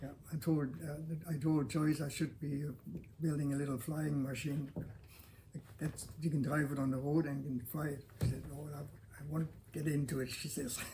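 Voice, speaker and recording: With audible room echo behind him, a man speaks at a moderate pace and a fairly high pitch, flat and monotone, leaving long, frequent pauses. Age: 80s+. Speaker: longtime local resident, builder. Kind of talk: interview. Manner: halting.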